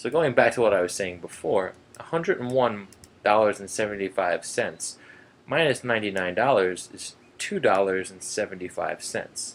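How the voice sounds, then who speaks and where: With a normal speaking voice, a man talks at a moderate pace, fairly low in pitch and lively in intonation. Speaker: math teacher. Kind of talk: tutorial.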